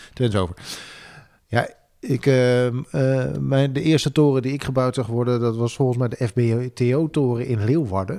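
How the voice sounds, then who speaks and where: At a moderate pace with long, frequent pauses, a man talks in a dark, mellow tone at a medium pitch with ordinary pitch variation. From Drenthe, northern Netherlands. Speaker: podcast host. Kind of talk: casual chat.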